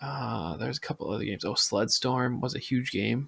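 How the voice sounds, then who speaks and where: The voice has a relaxed tone and vocal fry, in a Midwestern accent. Its pace is moderate. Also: man. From US Midwest, Minnesota. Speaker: podcast host and Twitch streamer. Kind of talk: casual podcast monologue. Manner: relaxed, many filler ums.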